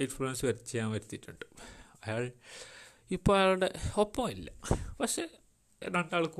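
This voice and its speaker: A man's voice moves through very wide pitch swings. The recording is very clean, with a silent background. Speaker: podcaster, storyteller. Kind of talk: storytelling monologue. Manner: halting. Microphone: poor mic quality.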